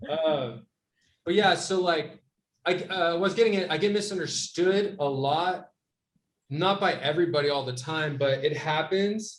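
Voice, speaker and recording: Loud and high-pitched, a man talks at a fairly slow pace. His pitch variation is ordinary. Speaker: podcast co-host. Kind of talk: casual chat. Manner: animated.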